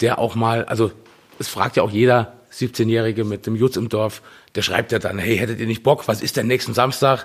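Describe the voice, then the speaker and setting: With a slight Saarland accent, a man speaks at a moderate pace and a medium pitch. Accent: slight Saarland accent, ch-sh weakness. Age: 40s. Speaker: punk band singer. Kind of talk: casual chat.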